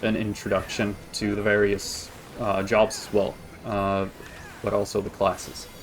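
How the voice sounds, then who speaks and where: A man speaks at a fairly slow pace in a flat, monotone way. His fairly low voice sits over noticeable background noise. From Sweden. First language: Swedish. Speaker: video game streamer. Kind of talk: casual gameplay commentary. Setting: live stream. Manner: hesitant, many fillers and restarts.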